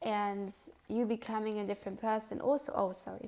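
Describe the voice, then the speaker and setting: A woman speaks with a non-native accent in a dark, mellow tone. Her fairly high voice stays monotone and flat. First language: not English. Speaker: tarot card reader. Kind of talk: pick a card tarot reading. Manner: casual, with fillers and self-corrections.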